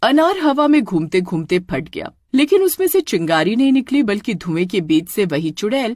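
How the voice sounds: A natural reading voice is heard throughout.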